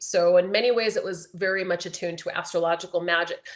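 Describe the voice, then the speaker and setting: An unremarkable speaking voice from a woman, fairly low in pitch and fairly quick, over a quiet background. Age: 50s. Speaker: astrologer. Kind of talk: interview.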